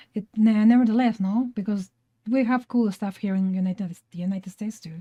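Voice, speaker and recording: Speaking with a Spanish accent, a woman keeps a fairly quick pace and ordinary pitch variation. Her tone is dark and mellow, and somewhat breathy. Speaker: podcast co-host, artist. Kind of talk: casual chat.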